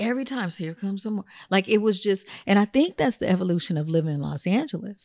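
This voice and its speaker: In a very clean recording with a silent background and a dry, close sound with no echo, a woman speaks very fast at a medium pitch with lively intonation. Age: 50s. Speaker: celebrity hairstylist and entrepreneur. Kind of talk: interview.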